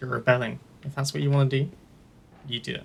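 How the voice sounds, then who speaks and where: Somewhat breathy, a man talks at a very fast pace. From UK. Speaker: gaming YouTuber. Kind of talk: let's play commentary. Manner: hesitant.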